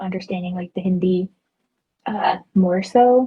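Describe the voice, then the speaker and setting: A somewhat breathy woman with an Atlanta accent, medium pitch and fairly even intonation. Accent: American, Atlanta. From US South. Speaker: guest on podcast. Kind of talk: casual chat.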